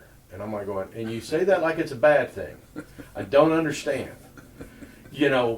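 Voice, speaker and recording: Over noticeable background noise, a man with a fairly high pitch speaks at a moderate pace with lively intonation. His loudness swings widely, and he leaves long, frequent pauses. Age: 60s. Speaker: oral history interviewer. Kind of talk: interview.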